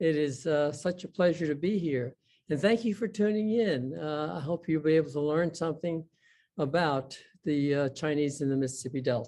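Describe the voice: This man's voice sits fairly high in pitch, with ordinary pitch variation and a dark, mellow tone. He talks at a moderate pace.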